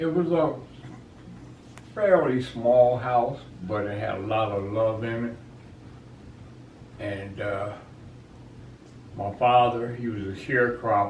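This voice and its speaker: With an American accent, a man talks at a very slow pace with long, frequent pauses, medium pitch, ordinary pitch variation and big swings in loudness, amid noticeable background noise and audible room echo. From US South (Georgia), then Philadelphia from age 12. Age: 70s. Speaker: retired-age contractor, interviewed grandfather. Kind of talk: family interview, life story. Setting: at home with family for Thanksgiving.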